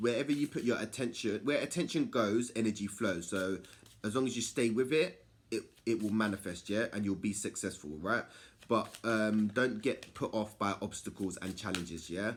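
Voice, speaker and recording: An ordinary speaking voice from a man, fairly low in pitch, with ordinary pitch variation and a moderate pace. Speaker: tarot reader. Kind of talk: tarot reading monologue.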